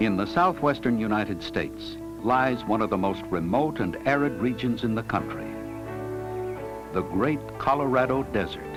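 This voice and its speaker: Over background music, a man with a fairly low pitch talks at a moderate pace, his intonation lively and his loudness very even. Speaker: narrator. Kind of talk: documentary narration. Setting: studio.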